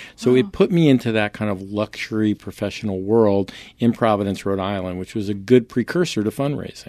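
Talking at a fairly quick pace, a man has a fairly low pitch and a dark, mellow tone. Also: ordinary pitch variation, hardly any pauses. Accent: American. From New York State, Poughkeepsie. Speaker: entrepreneur, former radio DJ. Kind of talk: interview.

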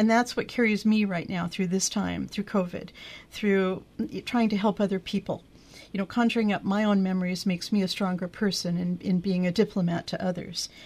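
Somewhat breathy, a woman talks at a fairly quick pace. Her pitch sits at a medium level. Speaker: radio host. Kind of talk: casual chat. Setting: studio. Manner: animated.

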